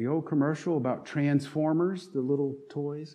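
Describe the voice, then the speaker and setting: A man with an American accent, fairly high in pitch, at a moderate pace, with audible room echo. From North Carolina. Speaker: pastor. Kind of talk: sermon.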